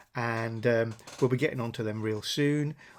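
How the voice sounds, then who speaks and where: A man speaks with an English accent at a medium pitch and a moderate pace. The recording is very clean, with a silent background. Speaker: car channel host. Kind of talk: casual video vlog update.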